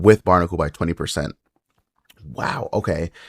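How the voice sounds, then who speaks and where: Quiet speech on a very clean recording, silent in the background, dry and close with no echo. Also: man. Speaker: mobile game YouTuber. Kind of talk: game unit review commentary. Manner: quiet, subdued.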